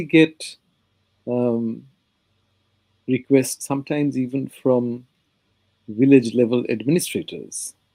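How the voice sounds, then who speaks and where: With a Bengali accent, a man talks fairly slowly at a medium pitch, his dark, mellow tone carrying ordinary pitch variation in a dry, close sound with no echo. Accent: Indian (Bengali) English. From India, Bengal. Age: 70s. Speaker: history professor, author. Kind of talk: interview. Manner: halting, many fillers.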